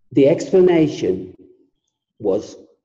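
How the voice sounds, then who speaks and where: A man with an English accent. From England. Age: 70s. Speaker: author and former musician. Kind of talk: interview.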